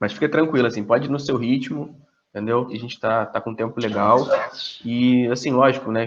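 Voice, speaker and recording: Very fast talking from a man, fairly even in intonation. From Brazil, Angra dos Reis. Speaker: moderator. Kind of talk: casual chat.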